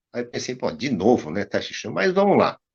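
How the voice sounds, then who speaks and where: A man talks fairly quickly, his pitch swinging very widely, with vocal fry. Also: quiet background. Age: 60s. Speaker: tai chi teacher. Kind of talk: casual chat.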